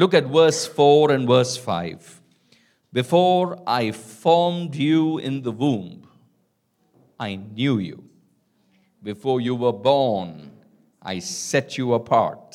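A man at medium pitch with very wide pitch swings, a very slow pace and long, frequent pauses. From India, Calcutta. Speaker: pastor. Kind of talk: sermon.

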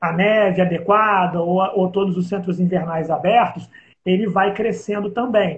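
A man speaks in a high pitch. The intonation is fairly even. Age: 40s. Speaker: travel agency co-host. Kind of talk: casual live stream chat.

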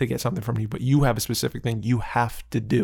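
A quiet, somewhat breathy man's voice at medium pitch, very fast, with fairly even intonation. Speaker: podcast co-host and actor. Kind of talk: casual chat. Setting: studio.

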